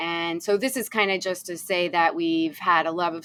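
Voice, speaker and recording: Using a plain, everyday voice, a woman with an American accent speaks at a fairly low pitch with fairly even intonation. The recording is very clean, with a silent background. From US Northeast, Rhode Island. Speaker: sailing content creator. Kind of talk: casual interview chat.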